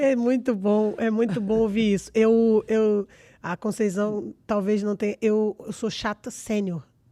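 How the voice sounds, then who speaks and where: A woman with a Brazilian accent and a dark, mellow tone speaks at a fairly slow pace, her fairly high voice following fairly even intonation, on a very clean recording with a silent background and a dry, close sound with no echo. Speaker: podcast host. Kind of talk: podcast interview.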